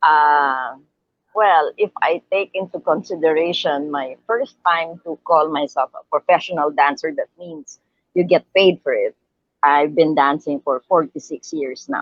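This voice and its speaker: A woman with an ordinary speaking voice talks at a fairly slow pace in a fairly low pitch. Her pitch variation is ordinary, while her loudness swings widely. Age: 60s. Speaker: professional dancer. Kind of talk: interview.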